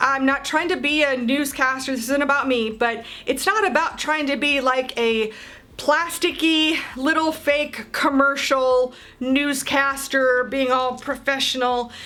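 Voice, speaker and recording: Projecting her high voice at a very even loudness, a woman speaks at a fairly slow pace. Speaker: motorsports marketing coach. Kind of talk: casual tutorial to camera. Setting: home office, talking to camera. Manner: conversational, stumbles on words.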